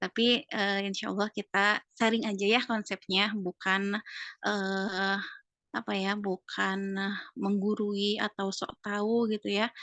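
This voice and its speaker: In a Sundanese accent, a woman speaks at a very slow pace and a medium pitch with a bright, sharp tone and monotone, flat intonation, in a dry, close sound with no echo and a quiet background. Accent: Sundanese-accented Indonesian. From West Java (Sundanese). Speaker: art teacher. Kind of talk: interview. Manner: hesitant, many fillers.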